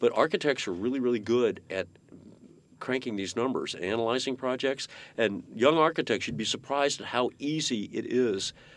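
In a very clean recording with a silent background, a man speaks at a medium pitch. His pace is moderate and his pitch variation ordinary. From US West Coast. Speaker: architect. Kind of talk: interview. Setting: studio. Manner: halting.

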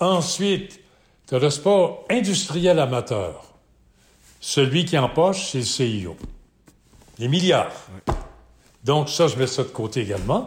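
Speaking at a very slow pace with long, frequent pauses, a man with a fairly high pitch shows very wide pitch swings and vocal fry, with audible room echo. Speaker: sports event founder and broadcaster. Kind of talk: interview.

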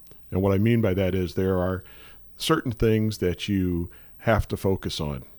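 A man with a Midwestern American accent, very deep and low in pitch, in a calm tone at a moderate pace, on a very clean recording with a silent background. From St. Louis, Missouri. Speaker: emergency management director. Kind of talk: radio interview. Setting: studio.

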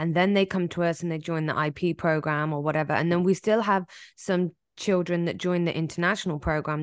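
Her pitch is fairly low and her intonation fairly even, in a normal speaking voice. The woman is heard against a quiet background. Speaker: podcast co-host. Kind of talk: casual chat.

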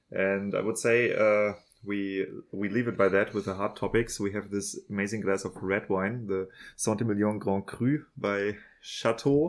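In a very clean recording with a silent background, a man with a fairly low pitch uses an ordinary speaking voice. His pace is fairly slow and his intonation fairly even. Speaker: podcast host and wine marketing consultant. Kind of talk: interview conversation.

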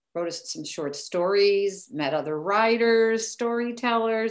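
American-accented female speech, its pitch rising and falling in an ordinary way. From US Midwest, Chicago area. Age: 60s. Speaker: author. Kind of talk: casual interview. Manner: animated.

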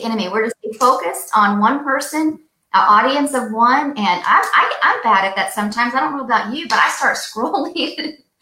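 A woman talks at a moderate pace with fairly high pitch and lively intonation. Her tone is bright and sharp, and audible room echo surrounds her.

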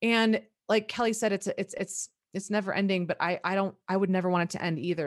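Her pitch sits in the middle range and rises and falls in an ordinary way, an unremarkable speaking voice from a woman. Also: quiet background. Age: 40s. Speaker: nutrition practitioner and coach. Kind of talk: casual chat.

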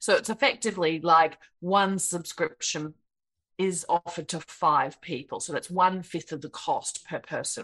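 A woman speaks at a moderate pace with an Australian accent, her pitch fairly low with ordinary variation. Her loudness swings widely. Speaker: software creator and speaker. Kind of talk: interview conversation. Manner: kind, gentle.

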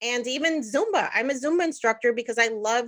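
A woman's high-pitched voice, fairly quick in pace, with ordinary pitch variation. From New Jersey, US (Puerto Rican family). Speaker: engineer and personal finance podcaster. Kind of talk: casual interview chat.

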